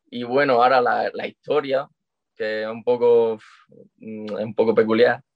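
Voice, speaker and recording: Loudness swings widely while the pace is fairly slow and the intonation stays monotone and flat. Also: man, medium pitch for a man. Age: 20s. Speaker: calisthenics athlete. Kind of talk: casual chat.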